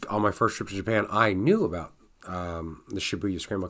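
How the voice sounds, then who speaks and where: A man's voice sits fairly low in pitch with ordinary variation. His tone comes across bright and sharp. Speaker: travel vlogger. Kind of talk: casual vlog talk. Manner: hesitant, many fillers.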